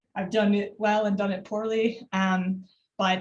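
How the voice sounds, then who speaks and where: This woman's voice sits at medium pitch and is somewhat breathy. Her intonation stays fairly even. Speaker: data visualization designer. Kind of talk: conference talk. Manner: fast; many filler words.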